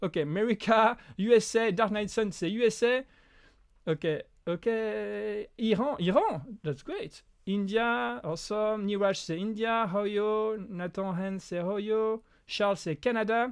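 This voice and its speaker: In a French accent, a man talks at a high pitch and a fairly slow pace. The recording is very clean, with a silent background. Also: ordinary pitch variation. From France. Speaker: prop maker and YouTuber. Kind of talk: live stream Q&A. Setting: home live stream. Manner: halting, many restarts.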